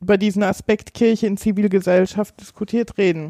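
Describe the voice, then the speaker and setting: The voice has a dark, mellow tone and a monotone, flat intonation. It moves at a moderate pace with a dry, close sound and no echo. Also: woman. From Hesse, Gießen. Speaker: researcher and democracy activist. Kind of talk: interview. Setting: office.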